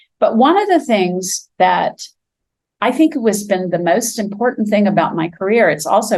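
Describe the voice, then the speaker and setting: At a moderate pace, a woman talks with a medium pitch and lively intonation. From Florida. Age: 60s. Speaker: sculptor. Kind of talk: interview. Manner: halting.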